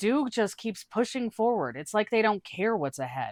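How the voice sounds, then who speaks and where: This is a put-on character voice. It sits at a fairly high pitch with a rumbling quality. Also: moderate pace. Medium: read story. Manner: grumbling, smug.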